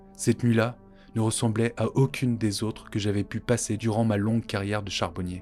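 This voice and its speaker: A man at medium pitch speaks in a dramatic, warm tone with fairly even intonation. Music plays behind him. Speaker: podcast storyteller. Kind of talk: scripted narration of a folk tale. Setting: studio. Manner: formal, literary, with dramatic pauses.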